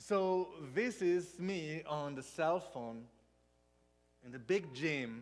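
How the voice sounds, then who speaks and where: A man with a Spanish accent and ordinary pitch variation, amid audible room echo. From Spain. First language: not English (third language). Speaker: pastor. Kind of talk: sermon. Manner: halting.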